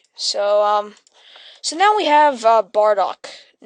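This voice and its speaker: A woman is speaking. Her voice is fairly high, with ordinary pitch variation. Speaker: animation tutorial maker. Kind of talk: tutorial. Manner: fast; halting.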